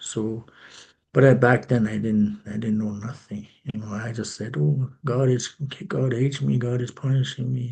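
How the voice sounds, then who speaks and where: A man talks at a moderate pace in a dark, mellow tone. His voice is somewhat breathy, medium in pitch, with ordinary variation. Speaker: recovery speaker. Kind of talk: testimony. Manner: halting, many restarts.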